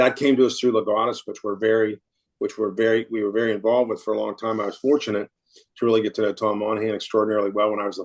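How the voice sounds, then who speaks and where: Against a quiet background, a man talks at a very fast pace. His pitch is medium and his intonation flat and monotone. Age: 60s. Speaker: financial advisor and firm founder. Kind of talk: interview conversation. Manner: repetitive false starts.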